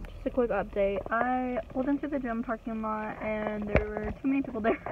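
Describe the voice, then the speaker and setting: Ordinary pitch variation comes through a dry sound with no echo and noticeable background noise. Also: woman. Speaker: vlogger. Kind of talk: casual vlog chat. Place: car. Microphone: phone near.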